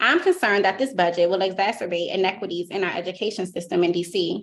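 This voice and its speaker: A woman with a Washington DC accent talks at a very fast pace and medium pitch with ordinary pitch variation. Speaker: teacher. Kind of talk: public testimony. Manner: formal.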